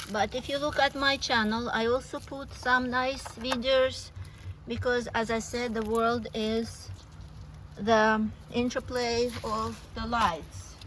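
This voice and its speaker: Audible room echo surrounds a woman with a non-native accent and a fairly high pitch. She talks at a fairly slow pace with fairly even intonation. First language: not English. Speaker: meditation vlogger. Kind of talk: casual vlog with guided meditation. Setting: outdoors.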